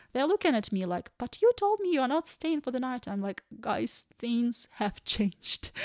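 At a moderate pace, a woman speaks in a high pitch with very wide pitch swings, the sound dry and close with no echo. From Ukraine. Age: 30s. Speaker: refugee. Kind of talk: interview.

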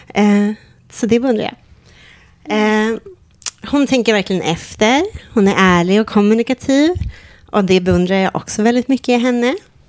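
With long, frequent pauses, a woman speaks at a moderate pace, fairly high-pitched with ordinary pitch variation. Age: 30s. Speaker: podcast co-host. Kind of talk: casual chat.

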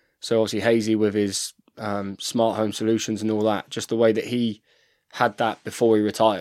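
With an English accent, a man speaks at a fairly quick pace in a fairly low pitch with monotone, flat intonation. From England. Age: 30s. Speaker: professional rugby player. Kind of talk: casual chat. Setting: studio.

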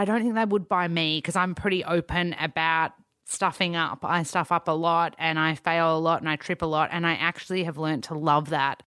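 With an Australian accent, a woman speaks at a moderate pace and a fairly low pitch, her intonation fairly even, on a very clean recording with a silent background. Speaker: nutritionist. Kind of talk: casual chat.

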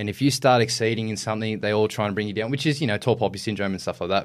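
In a very clean recording with a silent background, a man talks in a fairly low voice with fairly even intonation. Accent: Australian. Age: 20s. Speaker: firefighter and lifeguard. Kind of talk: casual interview chat.

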